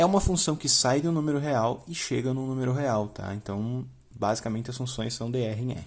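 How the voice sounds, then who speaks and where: A man speaks fairly quickly at medium pitch, with ordinary pitch variation. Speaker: math teacher. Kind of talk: tutorial. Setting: home. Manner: fast; casual.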